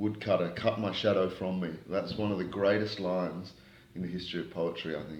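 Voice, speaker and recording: A man with an Australian accent speaks in a very deep, low voice with flat, monotone intonation. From Australia (Queanbeyan, New South Wales), Malaysian-Australian. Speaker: spoken word poet, rapper and novelist. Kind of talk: interview answer.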